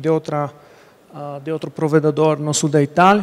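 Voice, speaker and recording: A man speaks with an Italian accent. His pitch sits fairly high. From Italy. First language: Italian (speaking Portuguese). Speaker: conference speaker, internet provider engineer. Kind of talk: technical presentation. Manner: halting, many fillers.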